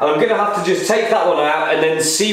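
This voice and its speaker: Strong room echo carries a man's voice, which has ordinary pitch variation. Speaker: car restoration vlogger. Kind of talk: casual vlog chat. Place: garage. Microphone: phone near.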